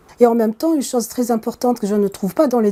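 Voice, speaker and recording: A woman with an Algerian accent speaks in a high pitch with ordinary pitch variation. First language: Kabyle (speaking French). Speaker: computer science professor. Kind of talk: interview. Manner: hesitant, with many fillers.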